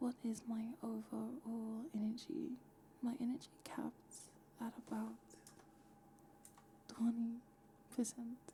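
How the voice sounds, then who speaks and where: Someone whispers, soft-spoken and very slow, with long, frequent pauses. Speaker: VTuber streamer. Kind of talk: casual talk to camera. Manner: whispered, soft-spoken.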